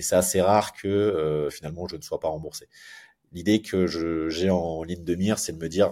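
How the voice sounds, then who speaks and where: A man speaks at a moderate pace with a dark, mellow tone and fairly even intonation. The recording is very clean, with a silent background. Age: 40s. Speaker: concierge company founder. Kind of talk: interview. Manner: hesitant, repeats words.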